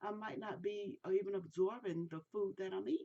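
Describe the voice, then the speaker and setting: Speaking with an American accent, the woman keeps to a moderate pace. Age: 60s. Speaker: product reviewer. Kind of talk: product review monologue. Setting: recorded on camera. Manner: casual, halting.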